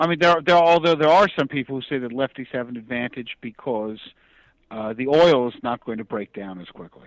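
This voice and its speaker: A man with a plain, everyday voice and medium pitch talks at a fairly quick pace with lively intonation, in a dry, close sound with no echo. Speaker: comic book writer and bowler. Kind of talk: interview answer.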